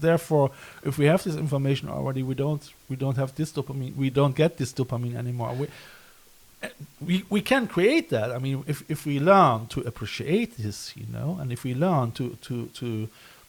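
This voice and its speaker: Somewhat breathy, a man with fairly high pitch talks at a fairly quick pace with ordinary pitch variation. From Germany, Cologne. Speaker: podcast host, visual artist. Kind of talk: casual chat. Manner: halting.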